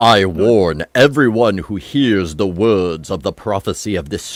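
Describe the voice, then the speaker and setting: Using a put-on character voice, a man speaks in a fairly low, solemn tone at a fairly slow pace. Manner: booming, godlike, solemn.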